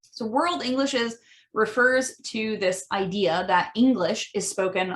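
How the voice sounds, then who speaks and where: A woman speaks with an American accent. Her medium-pitched voice has ordinary pitch variation. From US Midwest. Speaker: language educator. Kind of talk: podcast monologue. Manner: frequent fillers, um and uh.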